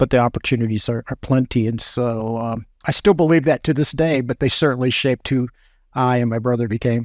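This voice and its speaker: With an ordinary speaking voice, a man talks at a fairly quick pace and medium pitch, his intonation fairly even and the sound dry and close with no echo. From New York, US. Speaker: former government food safety official. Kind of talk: interview.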